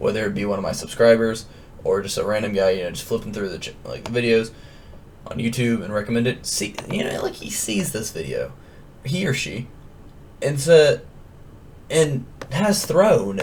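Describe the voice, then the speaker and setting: Over noticeable background noise, a man speaks with very wide pitch swings and long, frequent pauses. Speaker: gaming youtuber. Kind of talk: casual rant to camera.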